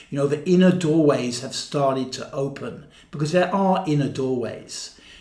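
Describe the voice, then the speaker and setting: This man's voice sits fairly high in pitch. He speaks at a moderate pace. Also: ordinary pitch variation. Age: 60s. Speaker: body-based therapy and mysticism teacher. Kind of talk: casual monologue to camera. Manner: repetitive, halting with filler words.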